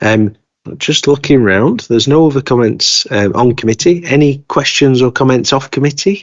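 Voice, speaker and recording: A man talks at a fairly slow pace. His medium-pitched voice shows ordinary pitch variation. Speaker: council committee chair. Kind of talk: formal committee meeting. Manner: hesitant.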